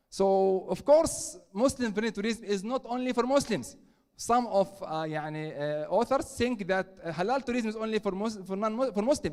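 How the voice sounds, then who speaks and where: A man talks at a high pitch with lively intonation. His pace is moderate, with hardly any pauses. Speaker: conference speaker, professor. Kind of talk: conference presentation. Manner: hesitant, many fillers.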